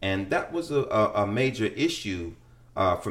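Somewhat breathy and fairly low in pitch, this man talks with an American accent. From Chicago, West Side. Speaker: middle school teacher. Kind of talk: casual conversation.

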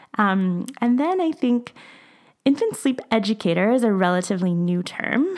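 Using a normal speaking voice, a woman talks at a moderate pace and fairly high pitch, with lively intonation and very even loudness. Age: 30s. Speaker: sleep consultant. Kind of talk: casual chat.

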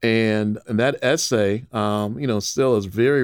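With an American accent, a man talks in an ordinary speaking voice at medium pitch and a moderate pace, his intonation fairly even on a very clean recording with a silent background. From Illinois, Waukegan (north of Chicago). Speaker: author and nonprofit entrepreneur. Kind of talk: interview.

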